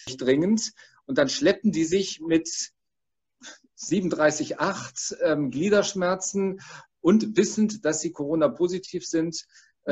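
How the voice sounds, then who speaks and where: A man speaks at a very slow pace in a high pitch. His pitch varies in an ordinary way. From Frankfurt. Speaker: emergency doctor. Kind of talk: panel discussion.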